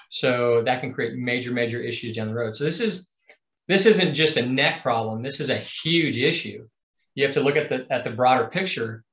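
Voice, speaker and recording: A man at a moderate pace, with audible room echo. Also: ordinary pitch variation. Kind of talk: interview answer. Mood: earnest, concerned. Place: office. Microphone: video call.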